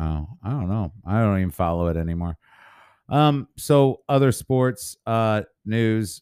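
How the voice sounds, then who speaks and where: Recorded very cleanly against a silent background, with a dry, close sound and no echo, a man with an American accent speaks at a fairly slow pace, fairly low in pitch and with lively intonation. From St. Louis area, Missouri. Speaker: podcast co-host, auctioneer. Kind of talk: casual chat.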